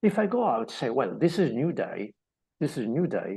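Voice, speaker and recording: A fairly high-pitched man with vocal fry and lively intonation. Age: 60s. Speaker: mindset coach. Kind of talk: motivational talk. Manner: halting.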